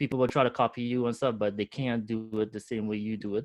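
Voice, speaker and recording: A man with a strong Trinidadian accent at a very fast pace, fairly even intonation and a quiet background. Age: 40s. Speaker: entrepreneur. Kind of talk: webinar interview.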